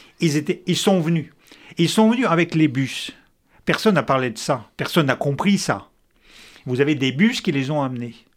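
In a very clean recording with a silent background, the speaker uses lively intonation at a moderate pace, with long, frequent pauses. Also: man, fairly high pitch for a man. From Soviet Union (Russia). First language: Russian (speaking French). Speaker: former intelligence officer and essayist. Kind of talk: debate.

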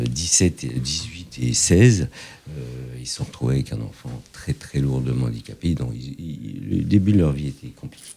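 A man speaks at a fairly slow pace in a very deep, low voice with ordinary pitch variation, over noticeable background noise. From France, Paris suburbs (Fontenay-sous-Bois). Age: 50s. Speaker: entrepreneur. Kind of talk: interview. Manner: hesitant, many fillers.

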